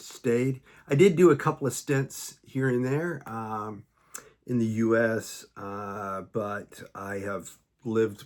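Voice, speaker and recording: A man with an American accent at medium pitch, very slow, with ordinary pitch variation. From United States. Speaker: US Navy veteran. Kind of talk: casual talk to camera. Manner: hesitant, rambling with many fillers.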